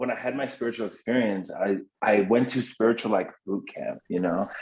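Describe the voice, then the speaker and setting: Fairly even in intonation, a man talks very fast. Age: 30s. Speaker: mental health and sobriety advocate. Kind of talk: podcast interview. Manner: halting, with frequent repetitions.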